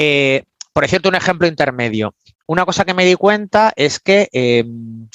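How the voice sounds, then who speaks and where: Recorded with a dry, close sound and no echo, a man talks at a moderate pace and fairly high pitch, his pitch swinging very widely while his loudness stays very even. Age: 50s. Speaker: business coach. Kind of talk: interview. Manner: animated.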